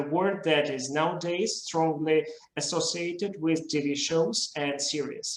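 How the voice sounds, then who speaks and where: A man with a Russian accent speaks fairly slowly at a fairly high pitch, with fairly even intonation. Noticeable background noise and audible room echo fill the recording. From Russia, Moscow. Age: young. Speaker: literary video creator. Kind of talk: conference talk. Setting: video call.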